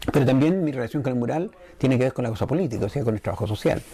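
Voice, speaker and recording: Over noticeable background noise, a man with a medium pitch talks very fast, his intonation lively. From Chile, Curicó. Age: 60s. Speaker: muralist and artist. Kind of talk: interview testimony. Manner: halting, with frequent fillers.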